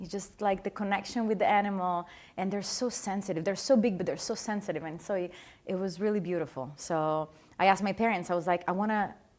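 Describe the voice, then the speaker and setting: On a very clean recording with a silent background, a woman with a slight Italian accent speaks at medium pitch with ordinary pitch variation. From Italy, Adriatic east coast. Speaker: dressage rider. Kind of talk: interview. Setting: studio with live audience.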